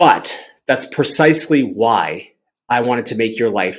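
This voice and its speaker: A man speaks at a medium pitch with an animated tone. His pitch varies in an ordinary way. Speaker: recruitment company CEO giving career advice. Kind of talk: tutorial.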